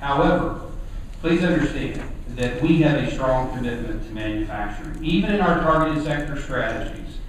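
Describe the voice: A man speaks at a medium pitch and a moderate pace, with lively intonation. Room echo is audible, and there is clear background noise.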